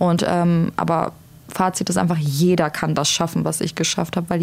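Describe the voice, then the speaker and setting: A woman talks at a fairly quick pace in a fairly low pitch and a flat monotone, with noticeable noise behind her. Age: 20s. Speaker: single mother sharing experience of domestic violence. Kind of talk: personal testimony in podcast conversation.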